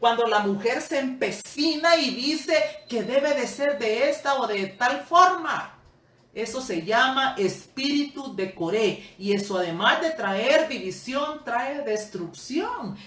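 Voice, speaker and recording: With audible room echo and noticeable background noise, a high-pitched woman speaks at a very slow pace with lively intonation. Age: 60s. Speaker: Bible teacher. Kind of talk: sermon.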